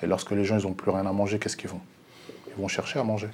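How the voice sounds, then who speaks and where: A man talks with a dark, mellow tone at a fairly low pitch. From Paris region. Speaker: bus driver. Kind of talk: TV panel discussion.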